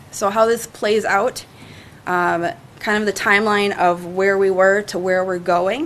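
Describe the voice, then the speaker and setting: Noticeable noise runs behind a woman's voice. She speaks at medium pitch with fairly even intonation. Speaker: city parks and recreation staff member. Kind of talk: presentation to city council. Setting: city council meeting.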